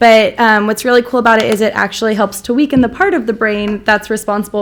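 Her voice fairly high, a woman talks at a fairly quick pace with fairly even intonation. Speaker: school site coordinator. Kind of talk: award acceptance speech. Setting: school board meeting. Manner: loud.

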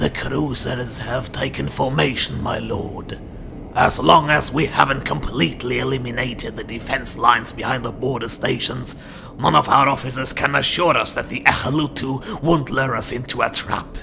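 Using a put-on character voice at a medium pitch, a man talks at a moderate pace over clear background noise. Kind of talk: dramatic acted dialogue. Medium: audio drama. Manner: formal, deferential. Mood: cautious report.

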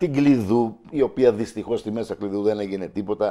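A man speaks in a dark, mellow tone. The background is quiet. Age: 50s. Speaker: local election candidate and teacher; election candidate, teacher. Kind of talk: TV interview. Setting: TV studio. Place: studio. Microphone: lapel.

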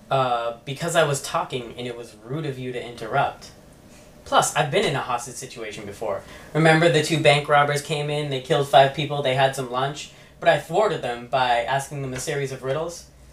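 A fairly quick pace with big swings in loudness and audible room echo. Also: man, ordinary pitch variation. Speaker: comedy sketch actor. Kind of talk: scripted comedic dialogue. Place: home room. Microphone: camera far.

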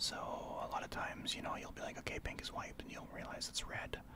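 Whispering and soft-spoken, the speaker moves at a fairly quick pace over loud background noise. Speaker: gaming streamer. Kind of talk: gameplay commentary with tips. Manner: soft ASMR whisper over gameplay.

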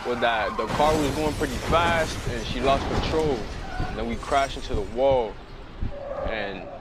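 Noticeable background noise sits under speech delivered at a moderate pace, with a dry sound and no echo. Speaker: accident survivor giving a testimony. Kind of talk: personal testimony interview answer. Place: garden.

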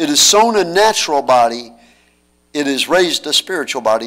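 The background stays quiet. A male speaker keeps a moderate pace. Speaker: pastor. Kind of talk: scripture reading in a sermon. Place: church. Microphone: podium.

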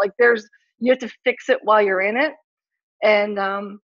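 With fairly even intonation, an ordinary speaking voice keeps a moderate pace. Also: woman. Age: 40s. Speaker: chiropractor. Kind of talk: casual interview.

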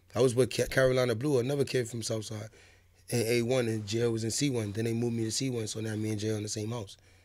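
A man's medium-pitched voice at a very fast pace, monotone and flat in intonation. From New York City (Harlem, Bronx); New York. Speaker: rapper; podcast guest. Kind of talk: interview. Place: studio. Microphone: studio mic.

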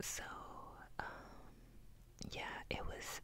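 A woman whispers. She goes at a very slow pace. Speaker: ASMR creator. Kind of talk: casual talk to camera. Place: home room. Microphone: earbuds.

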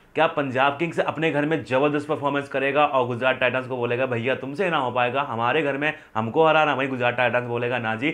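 A man talks at a moderate pace. He hardly pauses at all. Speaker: cricket prediction host. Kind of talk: commentary. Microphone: lapel.

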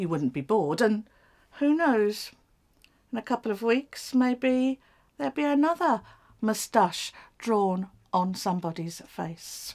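Long, frequent pauses break up the speech, which has very wide pitch swings. The background is quiet. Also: woman, fairly slow pace. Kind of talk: scripted drama dialogue. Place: garage.

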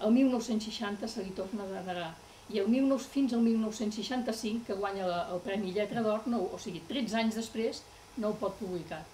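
A woman talks at a fairly slow pace with ordinary pitch variation. Light background noise can be heard. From Catalonia. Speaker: writer's daughter giving a talk; guest. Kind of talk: public talk. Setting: library event with audience. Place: hall.

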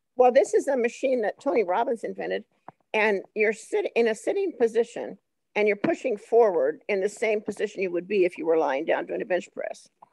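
A woman speaks fairly quickly at a fairly high pitch with vocal fry. Her intonation is lively, and the sound is dry and close with no echo. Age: 70s. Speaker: community member sharing a testimonial. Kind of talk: testimony. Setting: video call.

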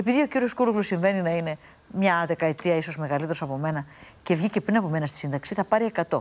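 At a fairly quick pace, a woman speaks with lively intonation in a fairly low pitch. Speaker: politician, member of European Parliament; politician. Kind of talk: political debate. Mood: assertive, argumentative. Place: studio. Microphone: lapel.

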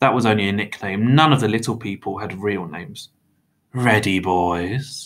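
Reading aloud in a natural voice against a quiet background.

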